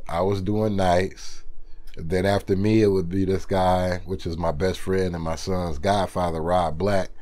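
A man speaks in a very deep, low pitch with an American accent. His intonation is monotone and flat, and his pace is fairly slow. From Sandusky, Ohio; Ohio. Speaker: radio DJ. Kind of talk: casual interview. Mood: relaxed, reflective. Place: studio.

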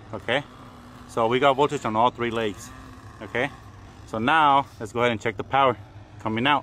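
Here a man speaks at a fairly quick pace. The sound is dry with no echo, and there is light background noise. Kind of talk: tutorial. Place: open country.

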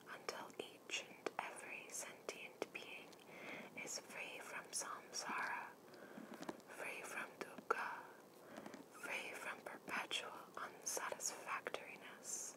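A woman whispers, moving at a very slow pace. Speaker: ASMR creator. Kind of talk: ASMR art card reading with whispers. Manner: whispered, soft.

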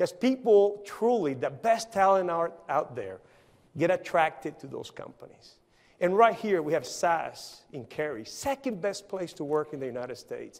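A man with a Spanish accent talks at a moderate pace in a high pitch, with very wide pitch swings and big swings in loudness against a quiet background. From Colombia, Barranquilla; Colombia. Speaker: engineering company CEO; conference speaker. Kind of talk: conference talk. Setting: stage with audience. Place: stage.

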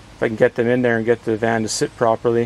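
Over light background noise, a man talks at a very fast pace. The sound is dry with no echo. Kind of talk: tutorial. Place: garden. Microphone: phone near.

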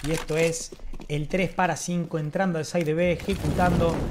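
A woman speaks at a moderate pace in a fairly low voice with a calm tone. Noticeable background noise is present. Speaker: esports commentator and streamer. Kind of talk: esports play-by-play commentary over CS:GO match highlights. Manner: casual, swearing, slangy and fanlike, mixing in stretches of calm analysis. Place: home room.

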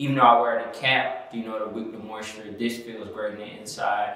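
A man's monotone, flat intonation with audible room echo. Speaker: product reviewer. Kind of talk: product review talk. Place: home room.

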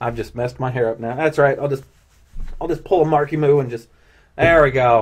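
Somewhat breathy, fairly quick delivery with ordinary pitch variation. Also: man. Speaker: cosplayer and YouTuber. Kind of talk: casual video chat with strangers. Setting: video call.

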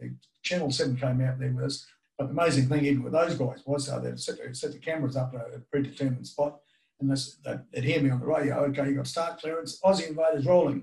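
A man's somewhat breathy voice, very fast, with fairly even intonation, against a quiet background. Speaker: remote podcast guest. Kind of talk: interview answer. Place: home room.

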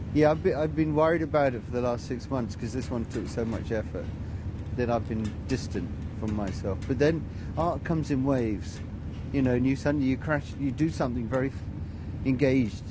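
Fairly quick speech in a dry sound with no echo, over noticeable background noise. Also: man. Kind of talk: interview answer. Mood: reflective, thoughtful. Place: open country.

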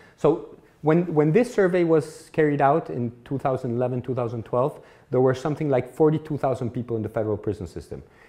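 Against a quiet background, a somewhat breathy voice with a dark, mellow tone moves at a moderate pace. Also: man, ordinary pitch variation. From Mexico. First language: Spanish. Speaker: law professor. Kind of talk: lecture. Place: classroom.

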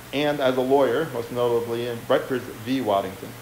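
There is audible room echo and light background noise as a man at medium pitch talks at a fairly quick pace with fairly even intonation. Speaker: historian. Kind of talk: lecture. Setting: stage with audience. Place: hall.

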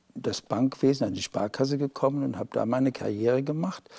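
Against a quiet background, a man speaks at a moderate pace with a dark, mellow tone, medium pitch and ordinary pitch variation. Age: 60s. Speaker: polio survivor and self-help group founder. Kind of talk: studio interview. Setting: TV studio. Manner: halting, with fillers. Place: studio. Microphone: lapel.

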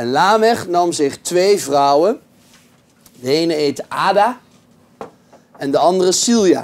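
Lively intonation carries a very slow delivery broken by long, frequent pauses. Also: man, high pitch for a man. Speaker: pastor. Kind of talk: lecture; reading aloud.

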